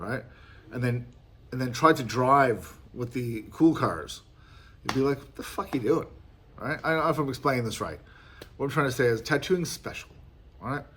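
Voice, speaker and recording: An Australian accent marks this man's medium-pitched voice with ordinary pitch variation. He goes at a moderate pace with long, frequent pauses and big swings in loudness. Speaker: tattoo artist. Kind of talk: casual monologue. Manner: animated.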